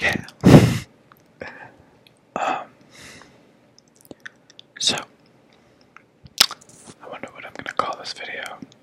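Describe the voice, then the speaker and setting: A man whispering in a relaxed tone at a fairly slow pace, with big swings in loudness, long, frequent pauses and noticeable background noise. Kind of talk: ASMR ramble to camera. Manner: whispered, relaxed.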